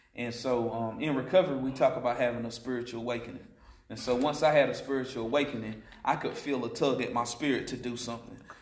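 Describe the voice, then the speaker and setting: A man talks at a very fast pace. Audible room echo and noticeable background noise are present. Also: medium pitch for a man. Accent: American. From Western North Carolina. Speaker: ministry leader, former prisoner. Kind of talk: testimony.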